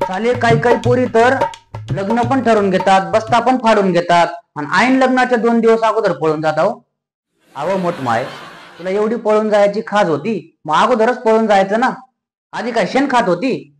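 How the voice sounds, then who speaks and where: A man with a high pitch talks, his pitch varying in an ordinary way. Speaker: stand-up comedian; farmer's son. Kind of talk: stand-up comedy routine.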